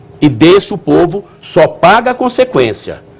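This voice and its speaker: A man's voice moves at a fairly slow pace, its pitch swinging very widely. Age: 60s. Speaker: municipal finance secretary. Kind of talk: TV interview.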